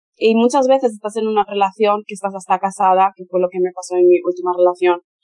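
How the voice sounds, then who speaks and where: The recording is dry and close with no echo, carrying a woman's medium-pitched voice. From Spain. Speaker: model and adult content creator. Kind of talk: interview conversation.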